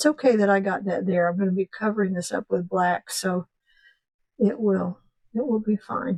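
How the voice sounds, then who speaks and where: A woman speaks at a moderate pace and medium pitch, with ordinary pitch variation and a normal speaking voice. The sound is dry and close, with no echo. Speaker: painting instructor. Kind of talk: tutorial. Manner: casual.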